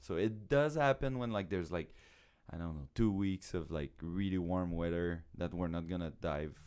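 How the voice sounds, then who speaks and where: Very deep and low in pitch with ordinary pitch variation, a man talks with a French Canadian accent on a very clean recording with a silent background. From Quebec. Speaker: circus show producer and acrobat. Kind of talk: podcast interview. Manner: halting, with repetitions.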